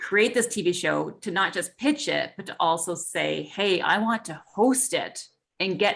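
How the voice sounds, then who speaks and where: Her voice carrying vocal fry, a woman speaks at a moderate pace with lively intonation. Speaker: mindset coach and visibility consultant, TV host. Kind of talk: interview answer.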